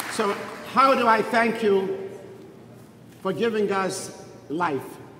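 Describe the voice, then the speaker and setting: There is audible room echo in this clip. The man's pitch varies in an ordinary way. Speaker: Holocaust survivor. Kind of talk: speech at memorial event. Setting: synagogue event with audience.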